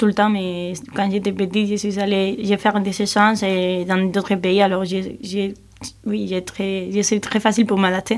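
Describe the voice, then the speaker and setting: A woman speaks with a Spanish accent at a medium pitch. Her pace is fairly slow and her intonation is monotone and flat. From Spain, Cáceres (Extremadura). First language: Spanish (speaking French). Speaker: European volunteer. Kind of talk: radio interview. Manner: halting.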